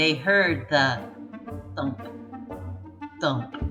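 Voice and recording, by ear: A woman speaks at a very slow pace in a low pitch with a bright, sharp tone and ordinary pitch variation, with audible room echo and faint music in the background.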